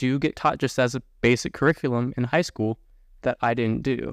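A man talks in a normal speaking voice at a medium pitch and a moderate pace. The background is quiet, and the sound is dry and close with no echo. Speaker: army officer, homeschooled adult. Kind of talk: casual chat.

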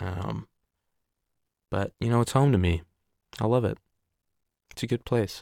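A fairly low-pitched man speaks at a moderate pace with ordinary pitch variation in a very clean recording with a silent background and a dry, close sound with no echo. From Oregon, US Pacific Northwest. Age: 20s. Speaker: podcast host. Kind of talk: casual monologue. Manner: hesitant, filler-heavy.

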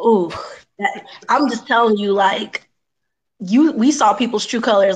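A woman speaks in an ordinary speaking voice, pitched fairly high. Her pitch varies in the usual way, and her pace is moderate. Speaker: returning guest co-host. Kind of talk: casual banter, comedic talk show.

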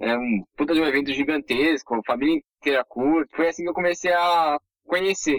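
Speaking with a São Paulo accent, a man keeps a moderate pace. His pitch is fairly high, with ordinary variation. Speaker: sports social media creator. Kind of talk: casual chat.

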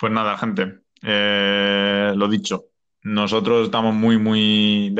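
A man's voice, fairly low in pitch. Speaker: video game podcast host. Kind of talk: casual chat.

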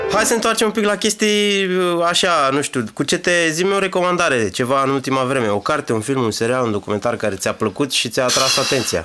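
A man's fairly high voice at a fairly quick pace, with very wide pitch swings, very even loudness and noticeable background noise. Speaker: podcast host and DJ. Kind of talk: interview. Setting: studio.

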